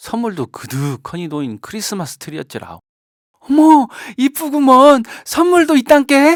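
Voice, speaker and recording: A fairly slow delivery in a North Jeolla accent, on a very clean recording with a silent background. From Jeonju, North Jeolla, Korea. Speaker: non-professional local volunteer narrator. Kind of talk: fairy tale narration.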